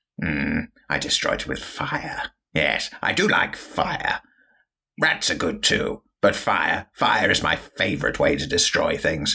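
A man uses a put-on character voice, raspy and menacing in tone. He speaks at a fairly slow pace. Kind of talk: comic villain overacting. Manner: sneering, menacing, haughty.

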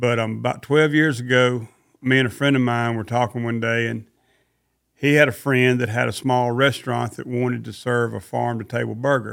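A man speaks with a Southern US accent. His intonation stays monotone and flat. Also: medium pitch for a man, moderate pace. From Mississippi. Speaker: cattle rancher. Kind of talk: interview.

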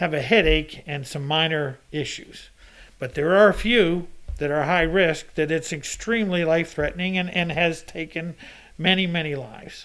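A normal speaking voice at a moderate pace. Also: man. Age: 60s. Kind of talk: casual chat.

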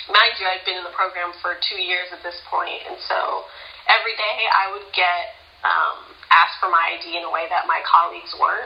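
A woman with an American accent at a moderate pace, with big swings in loudness, noticeable background noise and audible room echo. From US West Coast, Pasadena, California. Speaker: scientist and artist. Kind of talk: interview.

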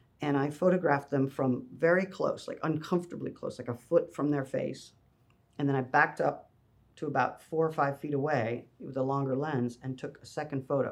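An ordinary speaking voice from a man, fairly high in pitch and fairly quick, with fairly even intonation and big swings in loudness. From Canada. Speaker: photography studio founder. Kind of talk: interview. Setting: photo studio.

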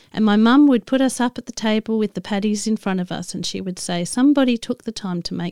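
In a dry, close sound with no echo and a very clean recording with a silent background, a woman with an Australian accent speaks at a very fast pace in a dark, mellow tone with ordinary pitch variation. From Australia, Adelaide. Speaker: podcast host. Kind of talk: casual storytelling monologue. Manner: halting, with many fillers.

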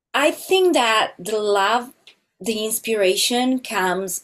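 In an Italian accent, a woman speaks at a very slow pace with a fairly high pitch and ordinary pitch variation, in a very clean recording with a silent background. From Italy, small country town. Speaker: film composer. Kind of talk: interview conversation.

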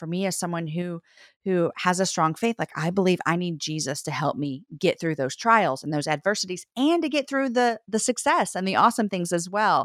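A woman with an unremarkable speaking voice and fairly low pitch talks at a moderate pace with hardly any pauses. The recording is very clean with a silent background and a dry, close sound with no echo. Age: 40s. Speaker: author and podcast host. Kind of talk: interview conversation.

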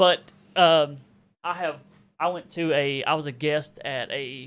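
A man with a slight Southern US accent, in a very clean recording with a silent background. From Arkansas. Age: 30s. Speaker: YouTuber and reseller. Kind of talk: casual chat.

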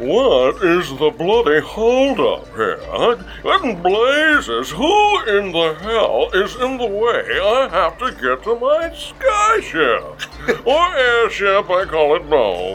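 In a put-on character voice, the speaker goes very slowly against clear background noise. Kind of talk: pompous, upper-class. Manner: indignant, impatient.

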